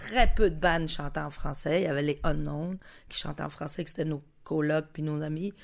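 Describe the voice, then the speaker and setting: A woman with a Spanish accent, a very deep, low pitch and vocal fry, at a moderate pace with fairly even intonation, in a very clean recording with a silent background. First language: Spanish (speaking French). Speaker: musician. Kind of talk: casual chat.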